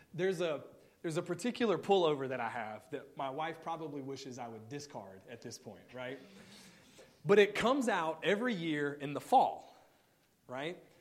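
In an American accent, a man speaks at a moderate pace with a fairly high pitch and very wide pitch swings, in audible room echo. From Mississippi, US South. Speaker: guest preacher. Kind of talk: sermon. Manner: casual with filler words.

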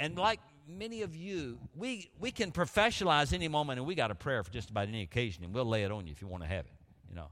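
In an Alabama accent, a man speaks very fast at a medium pitch, with very wide pitch swings and big swings in loudness, on a very clean recording with a silent background. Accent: Southern US (Alabama). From US South, Montgomery, Alabama. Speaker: guest preacher. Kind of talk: sermon. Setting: church.

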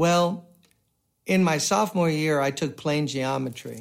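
Against a silent background in a very clean recording, a man with an American accent speaks at a moderate pace and a fairly high pitch in a normal speaking voice. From US Northeast, Brooklyn, New York. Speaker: pastor. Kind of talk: sermon.

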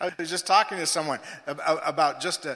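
A man speaks in a high pitch. Noticeable background noise runs behind him. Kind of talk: sermon. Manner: animated, rhythmic preacher's delivery that builds through repetition; exhorting, call-and-response with congregation.

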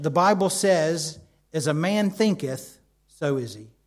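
Lively intonation in an American accent. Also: man. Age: 50s. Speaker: preacher. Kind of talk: sermon.

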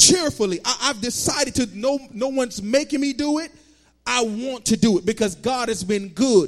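Music plays in the background as a man with an extremely high pitch for a man talks at a fairly quick pace with ordinary pitch variation. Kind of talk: fervent congregational prayer. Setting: church service. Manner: fervent, pleading, repeating 'oh God' with rising intensity.

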